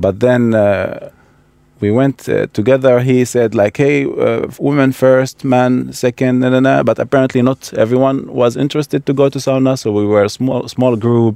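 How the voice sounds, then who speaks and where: With an Iraqi accent, a man speaks in a dark, mellow tone with fairly even intonation, the sound dry and close with no echo. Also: medium pitch for a man, moderate pace. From Baghdad, Iraq. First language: Arabic. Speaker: immigrant, project participant. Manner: halting, repeats words.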